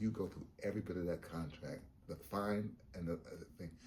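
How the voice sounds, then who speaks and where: A man with a very deep, low voice speaks in a somewhat breathy way. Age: 70s. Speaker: veteran theater actor. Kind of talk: documentary interview.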